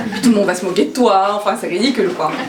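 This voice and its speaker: A woman's medium-pitched voice with a non-native accent, very fast pace and ordinary pitch variation, amid audible room echo and noticeable background noise. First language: not French (speaking French). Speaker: former lawyer turned stand-up comedian. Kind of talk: personal testimony talk to an audience. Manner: hesitant, many fillers and repetitions; casual, humorous.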